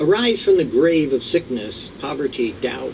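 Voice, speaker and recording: There is light noise behind the speech. A man delivers it at a medium pace. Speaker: devotional host. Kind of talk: sermon. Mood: calm, earnest. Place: garden.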